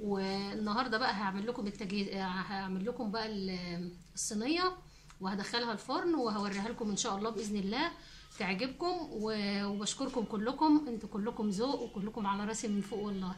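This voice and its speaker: Ordinary pitch variation at a moderate pace, with noticeable background noise. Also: woman, fairly high pitch for a woman. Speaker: cooking channel host. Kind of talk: casual chat to viewers. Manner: halting, many fillers and restarts.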